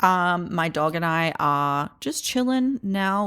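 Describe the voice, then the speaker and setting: A woman's fairly low voice with very wide pitch swings, in a very clean recording with a silent background. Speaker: podcast host. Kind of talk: casual monologue. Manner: fast.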